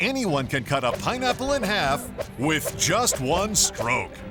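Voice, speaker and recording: A man's voice with music in the background. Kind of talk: TV commercial read.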